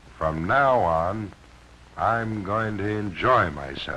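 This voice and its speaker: A man speaks at a very slow pace and fairly low pitch with lively intonation. Noticeable background noise is present. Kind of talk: promotional film narration. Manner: relaxed, contented.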